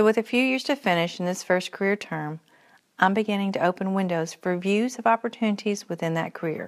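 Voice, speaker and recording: With a Kentucky accent, a woman talks fairly quickly at a medium pitch with ordinary pitch variation, on a very clean recording with a silent background. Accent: Kentucky Southern US. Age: 40s. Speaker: podcaster. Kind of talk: personal reflective monologue.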